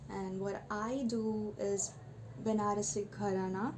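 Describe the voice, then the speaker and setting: A woman at medium pitch speaks in a flat monotone with a somewhat breathy, dark, mellow tone. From Bengal. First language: Bengali. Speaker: vlogger sharing personal story. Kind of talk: personal testimony monologue. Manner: halting, with fillers.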